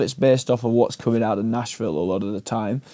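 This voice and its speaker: The speaker has an English accent. The tone is dark and mellow. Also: man. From England, small town. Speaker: musician and audio engineer. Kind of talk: casual interview chat. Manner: hesitant, many fillers.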